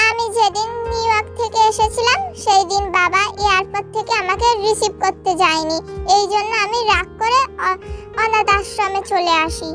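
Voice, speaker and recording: A woman's put-on character voice, extremely high-pitched, at a moderate pace over clear music in the background. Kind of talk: melodramatic fan dub acting. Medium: fan dub. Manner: sulky, hesitant, defensive.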